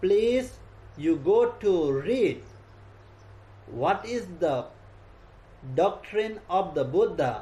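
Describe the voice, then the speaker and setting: A man speaks with a Nepali accent. His pace is very slow. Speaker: Buddhist monk. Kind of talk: dharma talk. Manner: halting.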